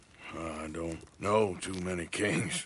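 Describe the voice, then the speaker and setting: In a put-on character voice, a man speaks very deep and low, raspy, with fairly even intonation. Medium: video game. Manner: plain, drawling.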